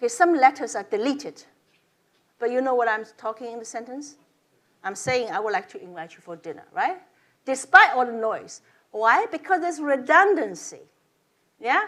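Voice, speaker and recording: Against a silent background in a very clean recording, a woman speaks at a high pitch and moderate pace, with very wide pitch swings, big swings in loudness and long, frequent pauses. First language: not English. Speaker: professor. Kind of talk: lecture. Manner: halting.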